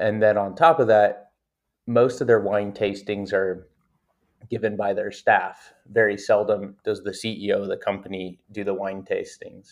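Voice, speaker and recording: A fairly low-pitched man with an American accent, at a moderate pace with fairly even intonation. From US West Coast (Napa Valley, California). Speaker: founder and CEO. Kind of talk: interview.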